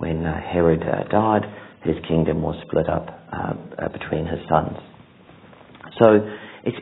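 A man's voice at a moderate speed. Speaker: preacher. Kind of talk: sermon. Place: church. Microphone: lapel.

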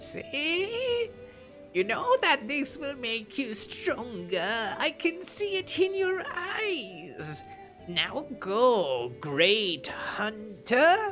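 A put-on character voice comes through at a fairly high pitch and a very slow pace. Clear music plays in the background. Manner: coaxing.

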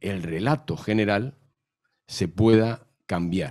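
The man's voice is fairly low in pitch with a dark, mellow tone. He speaks at a very slow pace over a quiet background. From Madrid, Spain; Spain. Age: 60s. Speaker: novelist and historian; guest. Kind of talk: panel talk. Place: hall. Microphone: handheld.

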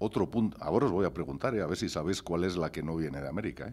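A man with a very deep, low pitch and a dark, mellow tone is speaking. He moves at a fairly quick pace with lively intonation. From Spain, Gijón (Asturias); Asturias, Spain. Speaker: chef; panelist. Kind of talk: conference talk. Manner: animated. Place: hall. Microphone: podium.

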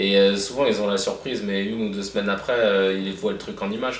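Over light background noise and audible room echo, a man with a fairly low voice talks at a fairly quick pace with fairly even intonation. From Paris, 19th arrondissement. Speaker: comedian. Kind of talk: casual interview. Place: office.

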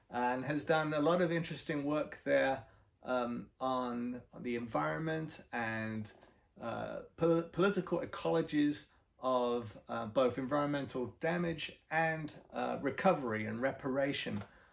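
A man's intonation is lively, though his pace stays fairly slow. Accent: English. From England. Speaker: professor. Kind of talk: interview. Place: home room. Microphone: camera far.

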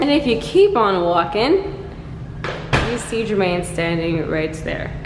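A woman's voice is heard. There is music behind her. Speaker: vlogger. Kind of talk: casual vlog chat. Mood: happy, excited. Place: kitchen. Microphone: phone near.

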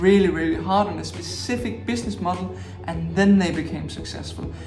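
A man's moderate-paced speech over clear music in the background. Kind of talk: advice talk to camera. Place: home room.

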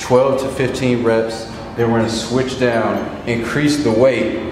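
A man is speaking with clear music in the background. The room echo is audible. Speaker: fitness trainer. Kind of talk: tutorial. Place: gym.

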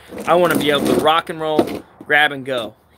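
A man's voice comes through loud background noise. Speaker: vlogger showing tools. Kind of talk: casual vlog chat. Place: street. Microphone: phone near.

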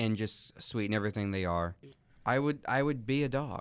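A man with an ordinary speaking voice delivers his words at a moderate pace and with lively intonation, the recording very clean and the background silent. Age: 20s. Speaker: college student. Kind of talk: casual chat. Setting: studio.

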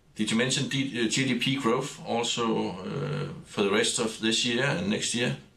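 A man at a very slow pace, medium in pitch with ordinary pitch variation, very even loudness, hardly any pauses and noticeable background noise. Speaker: webinar moderator. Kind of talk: moderating a webinar. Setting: studio.

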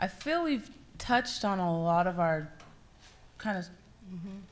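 At a fairly slow pace, a woman speaks at a medium pitch with ordinary pitch variation. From California, Santa Barbara County; California. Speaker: nonprofit youth volunteer, panelist; panelist. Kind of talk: panel discussion. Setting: stage with audience. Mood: earnest, heartfelt. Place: stage. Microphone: handheld.

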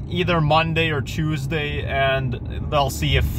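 The sound is dry with no echo, and noticeable background noise runs underneath. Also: man. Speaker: driver vlogger. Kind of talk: casual vlog chat. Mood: relaxed, reflective. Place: car. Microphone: phone near.

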